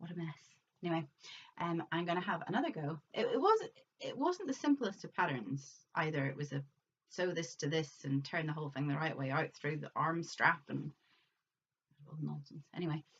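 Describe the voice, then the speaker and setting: A woman with a Northern Irish accent talks at a moderate pace in a fairly low pitch, with ordinary pitch variation. She leaves long, frequent pauses. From Northern Ireland. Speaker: crafting vlogger. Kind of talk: casual vlog show-and-tell.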